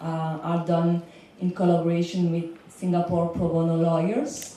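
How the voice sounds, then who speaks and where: Noticeable background noise and audible room echo accompany a woman talking at a fairly slow pace and a fairly low pitch. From Belgium. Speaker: legal consultant for migrant workers. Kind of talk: panel talk. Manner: some hesitation and filler words.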